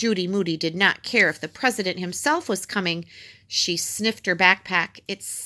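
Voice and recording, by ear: Reading aloud naturally, the voice moves through ordinary pitch variation.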